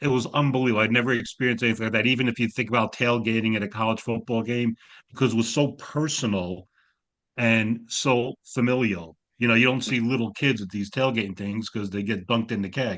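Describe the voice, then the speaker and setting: Over a quiet background, a man with a slight New York accent speaks very fast at a medium pitch, keeping his intonation fairly even. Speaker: graduate counseling student. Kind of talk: casual chat. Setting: video call.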